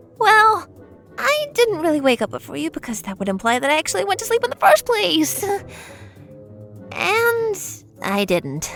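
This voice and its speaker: Over clear music in the background, a female-sounding voice puts on a character voice at a high pitch. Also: moderate pace. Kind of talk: fan fiction story reading. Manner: meek, hesitant.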